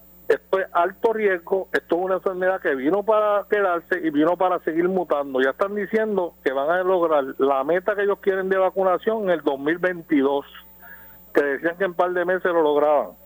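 A dry, close sound with no echo, very even loudness, moderate pace and ordinary pitch variation. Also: man, high pitch for a man. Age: 60s. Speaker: caller. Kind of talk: radio call-in.

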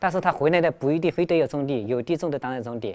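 Over a silent background in a very clean recording, a man talks at a very fast pace, his pitch fairly high with ordinary variation. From China, Hunan province. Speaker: migrant factory worker. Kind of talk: interview testimony. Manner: halting, many fillers.

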